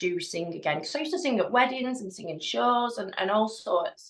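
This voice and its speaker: A woman speaks with a Lancashire accent. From northern England, East Lancashire. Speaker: hypnotherapist. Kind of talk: casual chat. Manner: halting.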